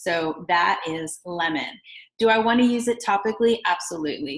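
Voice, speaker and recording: A woman talks at a moderate pace with a normal speaking voice. Her pitch is medium and varies in an ordinary way. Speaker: essential oils seller. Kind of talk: product tutorial.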